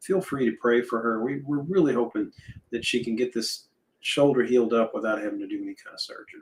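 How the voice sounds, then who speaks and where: The pace is fairly quick. It's a man talking. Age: 60s. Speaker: online show co-host. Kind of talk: casual chat.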